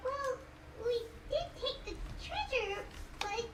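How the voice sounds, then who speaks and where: A put-on character voice comes out squeaky at an extremely high pitch and a fairly slow pace. Loud background noise fills the recording. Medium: video game. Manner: casual, open.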